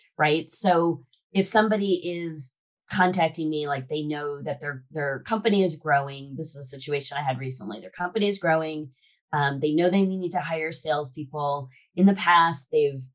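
A woman with a very deep, low pitch speaks at a moderate pace with ordinary pitch variation and big swings in loudness, against a quiet background. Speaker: podcast guest, sales expert. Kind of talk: interview answer. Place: home room. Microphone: video call.

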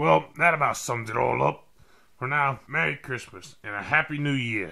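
A man's raspy, put-on character voice at a medium pitch and moderate pace, with very wide pitch swings. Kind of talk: comic drunken monologue. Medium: voice reel. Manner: rambling, careless. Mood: cheerful sign-off.

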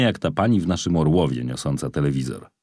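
This man's speech moves along fairly quickly. Vocal fry runs through his voice. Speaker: audiobook narrator. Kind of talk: audiobook reading aloud of a memoir, first-person narrative.

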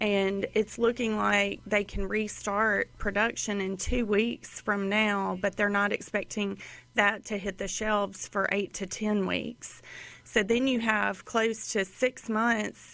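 Speaking at a very slow pace, a woman uses a bright, sharp tone with monotone, flat intonation. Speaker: guest. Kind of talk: interview answer. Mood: concerned, informative. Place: studio. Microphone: studio mic.

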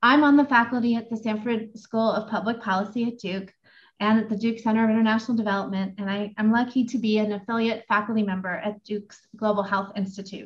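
Against a quiet background, a somewhat breathy woman talks very fast in a monotone, flat manner. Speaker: moderator. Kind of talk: formal introduction. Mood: warm, smiling. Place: home room.

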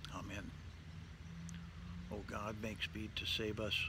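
A man speaks at a fairly slow pace. The sound is dry with no echo, though noticeable background noise comes through. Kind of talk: liturgical reading. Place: garden. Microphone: phone near.

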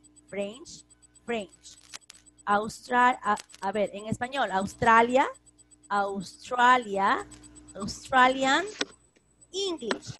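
A woman at a fairly high pitch and a very slow pace, bright, sharp tone, lively intonation, big swings in loudness, long, frequent pauses, dry sound with no echo, and light background noise. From Peru. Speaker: school English teacher. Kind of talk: online class lesson. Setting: video call. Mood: warm, patient. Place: home room. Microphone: video call.

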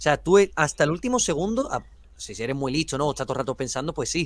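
Very fast and fairly high-pitched, a man's voice carries vocal fry and very wide pitch swings. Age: young. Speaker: film youtuber. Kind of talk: casual debate.

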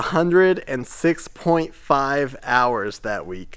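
A man's pitch varies in an ordinary way, with a quiet background behind him. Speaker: shop owner vlogger. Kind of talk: casual vlog storytelling. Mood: upbeat, reflective. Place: workshop. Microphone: phone near.

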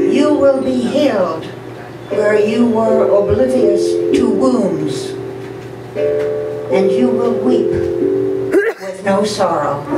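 The speech moves at a very slow pace, with audible room echo and loud background noise. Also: woman. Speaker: poet. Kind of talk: poetry reading. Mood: solemn, measured. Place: cafe. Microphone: camera far.

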